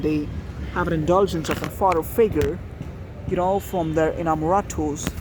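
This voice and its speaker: A man talks at a moderate pace. The room echo is audible and background noise is noticeable. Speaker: engineering student vlogger. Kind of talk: casual vlog monologue. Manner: halting, many fillers.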